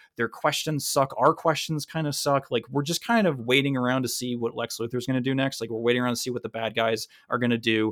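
Someone with an American accent talks at a very fast pace with hardly any pauses and fairly even intonation. The recording is very clean with a silent background. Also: man, medium pitch for a man. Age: 30s. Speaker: podcast host. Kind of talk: casual chat.

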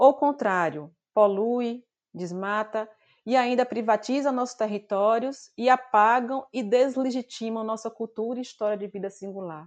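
Speaking at a fairly slow pace in an ordinary speaking voice, a woman with a fairly high pitch shows ordinary pitch variation and big swings in loudness. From Brazil, Bahia semi-arid interior. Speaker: nutrition professor. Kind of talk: interview.

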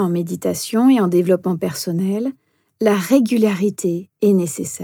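A woman with a dark, mellow tone and medium pitch speaks at a fairly slow pace, somewhat breathy, with lively intonation. The sound is dry and close with no echo, on a very clean recording with a silent background. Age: 40s. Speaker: meditation instructor and coach. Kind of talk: podcast self-introduction monologue.

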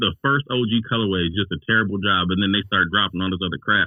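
A man with an American accent and a plain, everyday voice talks at a fairly low pitch and a fairly quick pace, with ordinary pitch variation. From Cleveland, Ohio. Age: 40s. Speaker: sneaker collector. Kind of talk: casual chat. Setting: video call.

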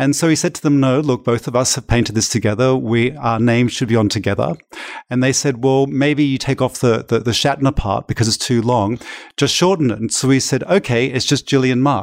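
In a very clean recording with a silent background, a man with an Australian accent talks at a fairly quick pace, his medium pitch showing ordinary variation. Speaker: artist. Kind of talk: interview chat. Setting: art gallery with background noise.

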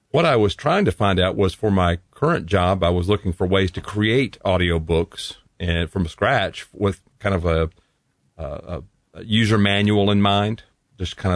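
In a Southern US accent, a man with a very deep, low pitch speaks at a moderate pace with ordinary pitch variation. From Tennessee. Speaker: voice over artist and audio producer. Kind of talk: casual interview chat.

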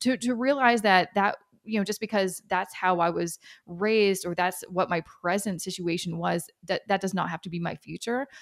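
A woman with a Canadian accent and an unremarkable speaking voice, medium pitch, ordinary pitch variation and a moderate pace, in a dry, close sound with no echo. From Canada. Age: 30s. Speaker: personal finance expert. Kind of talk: interview.

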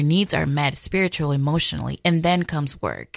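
A woman with a Spanish accent speaks at a moderate pace, her very deep, low pitch held to fairly even intonation over a quiet background. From Dominican Republic. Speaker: communications officer for a charity. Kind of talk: radio interview.

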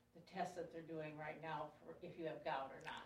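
A woman speaks with a fairly low pitch. Room echo is audible around her voice. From US Midwest. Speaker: class attendee. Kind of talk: casual chat.

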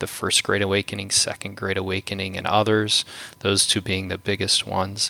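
A man talks at a fairly quick pace with a fairly low pitch and monotone, flat intonation. The sound is dry and close with no echo, though noticeable background noise is present. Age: 40s. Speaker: ministry director and former pastor. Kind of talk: interview conversation.

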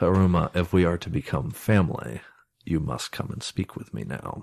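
Growling put-on character voice from a man, very deep and low in pitch, at a moderate pace

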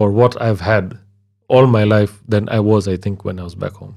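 A man speaks with fairly even intonation and a dark, mellow tone. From western Kenya, Lake Victoria region. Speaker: DJ and office worker. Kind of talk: casual interview.

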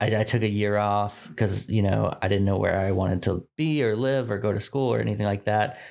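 An unremarkable speaking voice from a man with an American accent, fairly low in pitch, at a moderate pace with fairly even intonation and very even loudness, on a very clean recording with a silent background. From Texas, Dallas suburbs. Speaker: brand designer. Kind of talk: casual interview.

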